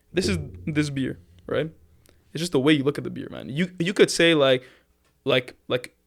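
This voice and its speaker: At a moderate pace, a man speaks in a fairly high voice with vocal fry. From Lebanon. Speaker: singer-songwriter. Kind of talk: casual chat. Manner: halting, with repetitions.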